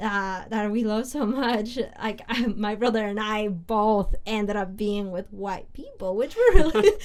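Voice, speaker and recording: A woman with a Spanish accent speaks at a fairly slow pace in a fairly high voice. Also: fairly even intonation. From Peru. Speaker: podcast co-host. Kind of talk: casual chat.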